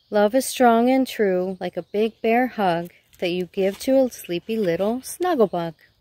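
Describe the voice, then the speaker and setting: A woman speaks at a fairly slow pace with a fairly high pitch and lively intonation. Her tone is dark and mellow, and the sound is dry with no echo against a quiet background. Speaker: nurse. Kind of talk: children's bedtime story reading. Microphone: phone near.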